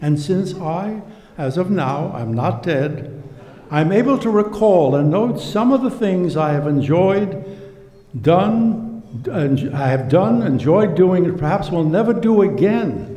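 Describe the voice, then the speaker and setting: With noticeable background noise behind him, a man speaks at a very slow pace in a high pitch with lively intonation. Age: 80s+. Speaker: comedian. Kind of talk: reading aloud from his book.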